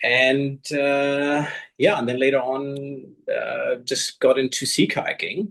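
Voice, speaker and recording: A man with a German accent speaks at a very slow pace. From Germany. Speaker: long distance kayaker. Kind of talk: interview. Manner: halting.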